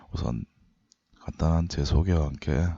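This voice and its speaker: This man's voice is very deep and low in pitch, somewhat breathy, with ordinary pitch variation. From Daegu, South Korea (Gyeongsang region). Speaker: poker coach. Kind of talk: lecture.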